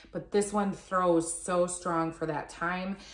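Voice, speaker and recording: Audible room echo surrounds this woman as she talks. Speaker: product reviewer. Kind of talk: casual vlog chat. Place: home room. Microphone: phone near.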